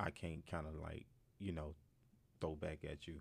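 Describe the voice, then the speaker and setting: A man with a Southern US accent and a very deep, low pitch. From Mississippi. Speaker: music executive and promoter. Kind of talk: casual interview. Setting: studio.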